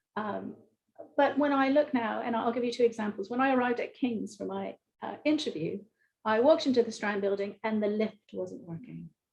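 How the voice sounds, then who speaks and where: Somewhat breathy and fairly high in pitch, a woman with an American accent speaks at a fairly quick pace with ordinary pitch variation. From US, Philadelphia. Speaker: engineering professor. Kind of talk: panel discussion. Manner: hesitant, many fillers.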